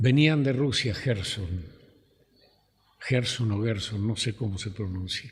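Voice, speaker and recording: A man speaks at a very slow pace with long, frequent pauses, his medium-pitched voice somewhat breathy and his pitch varying in an ordinary way. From Argentina, Rivera (Buenos Aires province). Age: 80s+. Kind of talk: oral history interview. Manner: halting, hesitant.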